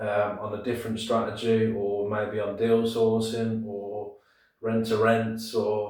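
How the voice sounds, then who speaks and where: With a Brummie accent and monotone, flat intonation, a man speaks at a fairly slow pace amid audible room echo. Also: medium pitch for a man. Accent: Birmingham (Brummie). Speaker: property investor and deal sourcer. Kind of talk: casual tutorial to camera. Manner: casual, hesitant with many fillers.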